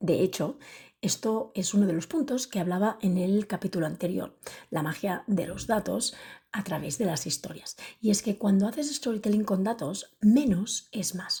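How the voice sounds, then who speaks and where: The voice is soft-spoken and somewhat breathy, with a dark, mellow tone. Its intonation is lively and its pace moderate. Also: woman, medium pitch for a woman. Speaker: podcast host and public speaker. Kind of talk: podcast monologue. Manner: soft-spoken, speaking quietly.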